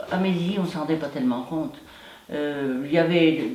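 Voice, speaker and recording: Amid noticeable background noise and audible room echo, a woman with a very deep, low pitch for a woman speaks at a moderate pace with ordinary pitch variation. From France, Loire (near Charlieu). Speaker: war witness. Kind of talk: testimony interview.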